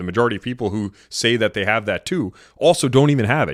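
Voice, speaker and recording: A man talks at a very fast pace with a fairly low pitch, an animated tone and lively intonation. The recording is very clean, with a silent background. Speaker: dating and relationship podcast host. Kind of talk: podcast monologue.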